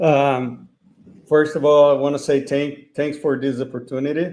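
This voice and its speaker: Fairly slow and monotone, a man with a Brazilian accent and a fairly high pitch speaks with long, frequent pauses. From Brazil, São Paulo state. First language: Portuguese. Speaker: company founder. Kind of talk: interview. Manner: halting.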